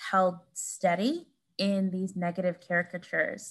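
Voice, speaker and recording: In a very clean recording with a silent background, a woman's somewhat breathy voice, at medium pitch, moves at a fairly slow pace. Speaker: author, professor. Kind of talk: interview conversation about her book.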